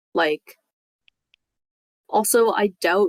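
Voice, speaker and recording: Recorded in a dry, close sound with no echo, a woman speaks at a medium pitch. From Canada. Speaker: podcast co-host. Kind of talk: casual chat.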